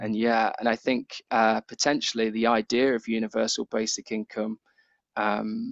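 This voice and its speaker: Monotone, flat intonation with a British accent. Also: man, medium pitch for a man, moderate pace. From Britain. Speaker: science communication researcher and lecturer. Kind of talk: Q&A after a seminar talk.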